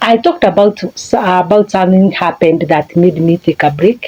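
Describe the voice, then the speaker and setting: A woman with a Kenyan accent and a medium pitch, over noticeable background noise. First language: a Kenyan language (not English). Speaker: life coach. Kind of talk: motivational talk. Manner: halting.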